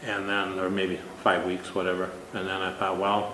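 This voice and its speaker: Through audible room echo and noticeable background noise, a man with an American accent speaks at a fairly low pitch. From Minnesota. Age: 60s. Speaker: contest winner. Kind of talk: interview. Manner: halting.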